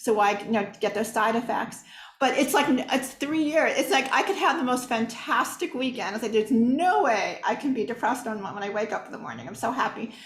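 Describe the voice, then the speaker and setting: Lively intonation carries speech at a fairly quick pace over noticeable background noise. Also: woman, high pitch for a woman. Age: 60s. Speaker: audience member. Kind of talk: Q&A question.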